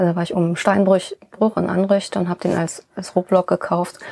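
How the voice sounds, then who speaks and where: The speech moves at a moderate pace with monotone, flat intonation. The sound is dry and close, with no echo. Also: woman. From Rhineland, Germany (born in Bonn). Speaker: sculptor and stonemason. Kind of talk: casual interview.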